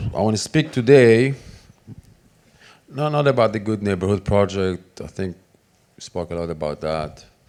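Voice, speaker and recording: A man speaks with an Israeli accent at a moderate pace. He leaves long, frequent pauses. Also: fairly low pitch for a man, lively intonation, big swings in loudness. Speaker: conference speaker. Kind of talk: conference talk. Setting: stage with audience. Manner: animated.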